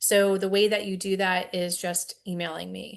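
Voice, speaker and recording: Against a quiet background, a woman with an ordinary speaking voice talks at a medium pitch with fairly even intonation. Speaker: science educator. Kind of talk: webinar presentation.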